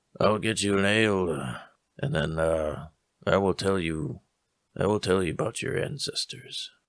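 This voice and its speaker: A man puts on a raspy character voice with a very deep, low pitch. He speaks at a fairly slow pace. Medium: actual play.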